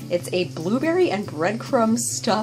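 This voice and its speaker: Clear music sounds in the background while a woman talks. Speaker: home cook food vlogger. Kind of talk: casual vlog chat. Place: kitchen.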